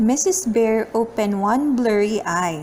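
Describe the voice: Speaking slowly, a woman has a fairly high voice with a slightly mellow tone and lively intonation. Room echo is audible.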